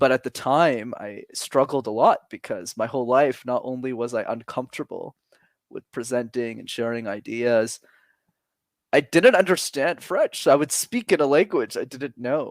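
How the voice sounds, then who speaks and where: Big swings in loudness from a man at a medium pitch and moderate pace, with ordinary pitch variation, a dry, close sound with no echo, and a very clean recording with a silent background. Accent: Montreal. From Montreal, Quebec. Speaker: public speaking coach. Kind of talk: interview conversation.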